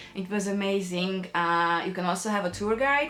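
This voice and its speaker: Over noticeable background noise, a woman with a Hungarian accent speaks at a medium pitch with ordinary pitch variation. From Hungary, Pécs. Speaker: artist and designer vlogger. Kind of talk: casual vlog to camera. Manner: hesitant, many fillers.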